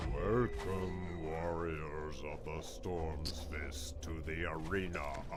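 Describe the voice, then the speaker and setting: Growling in a put-on character voice, a man speaks at a very slow pace over loud background noise. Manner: booming, proclaiming.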